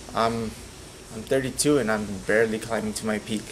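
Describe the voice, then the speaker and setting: Noticeable background noise sits behind a man speaking at a moderate pace. His medium pitch follows fairly even intonation. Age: 30s. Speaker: professional boxer. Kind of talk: press interview. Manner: hesitant, many repetitions.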